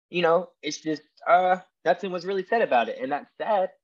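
A man with a high voice speaks with a Tennessee accent at a fairly quick pace. His pitch varies in an ordinary way against a quiet background. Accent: Southern American (Tennessee). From US South, Tennessee. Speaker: podcast host appearing as guest. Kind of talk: casual interview chat.

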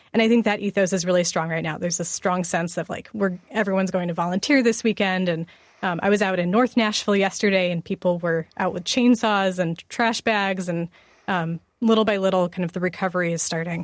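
The sound is dry and close, with no echo. A woman talks fairly quickly at a medium pitch, in an ordinary speaking voice. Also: fairly even intonation. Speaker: radio news director. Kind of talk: news interview. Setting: remote link from another city.

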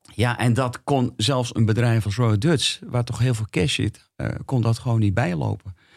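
Somewhat breathy, a man at medium pitch speaks with ordinary pitch variation in a very clean recording with a silent background. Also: moderate pace. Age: 60s. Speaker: experienced investor. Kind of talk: casual interview. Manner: halting.

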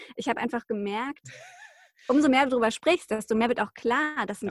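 With an ordinary speaking voice, a woman talks at a fairly quick pace and a fairly high pitch, recorded dry and close with no echo. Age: 30s. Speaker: journalist and podcaster. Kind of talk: interview about personal illness story.

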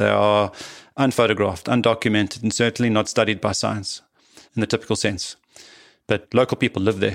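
Fairly quick speech in a South African accent, monotone and flat, on a very clean recording with a silent background. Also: man. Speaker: biologist and expedition leader. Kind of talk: interview.

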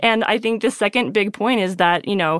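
A woman with an ordinary speaking voice talks at a fairly quick pace and medium pitch with ordinary pitch variation, recorded very clean, dry and close, with a silent background and no echo. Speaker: podcast host. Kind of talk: casual interview chat.

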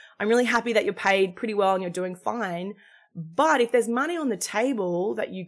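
A woman with an Australian accent speaks at a medium pitch with lively intonation, recorded very cleanly against a silent background. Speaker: executive coach and founder. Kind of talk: interview.

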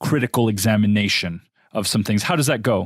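A man talks in a plain, everyday voice, fairly low in pitch with ordinary variation. The sound is dry and close, with no echo. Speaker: podcast host. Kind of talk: interview.

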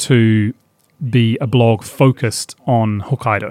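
With a New Zealand accent, a man talks in fairly even intonation, the sound dry and close with no echo. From New Zealand, far south of the South Island. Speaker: outdoor guide website creator. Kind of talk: interview conversation.

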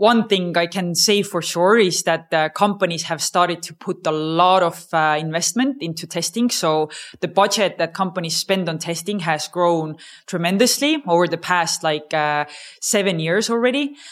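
At a moderate pace, a woman with an Estonian accent speaks in a fairly low voice with ordinary pitch variation, recorded very cleanly against a silent background. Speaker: startup co-founder. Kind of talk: interview. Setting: conference venue.

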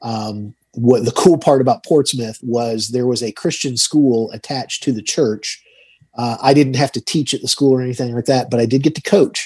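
A man with an American accent talks at a moderate pace and medium pitch, with ordinary pitch variation. It's a plain, everyday voice over a quiet background. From Georgia, US South (Tucker, Atlanta area). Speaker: financial advisor and radio host. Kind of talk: interview.

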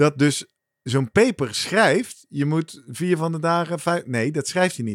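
At a very slow pace, a man with a fairly high pitch speaks in lively intonation, in a dry, close sound with no echo. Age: middle-aged. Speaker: podcast host. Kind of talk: casual chat.

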